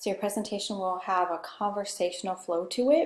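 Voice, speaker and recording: Soft-spoken and medium-pitched, a woman talks at a moderate pace. She has a Pacific Northwest accent. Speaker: communication instructor. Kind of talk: lecture. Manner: conversational.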